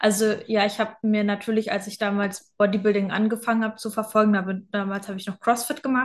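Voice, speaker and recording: A woman with a fairly high pitch talks very fast and somewhat breathily, in a flat monotone with hardly any pauses. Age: 20s. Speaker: online fitness and mindset coach. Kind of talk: casual interview.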